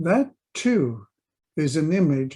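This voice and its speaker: A man speaks with a fairly high pitch. His tone is dark and mellow. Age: 80s+. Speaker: memoirist. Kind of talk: reading aloud.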